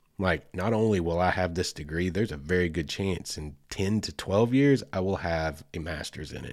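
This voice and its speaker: In an Oklahoma accent, a man speaks at a moderate pace with a very deep, low pitch and ordinary pitch variation on a very clean recording with a silent background. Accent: Southern US (Oklahoma). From US South, Oklahoma. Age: 40s. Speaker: podcast host. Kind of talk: casual solo podcast monologue.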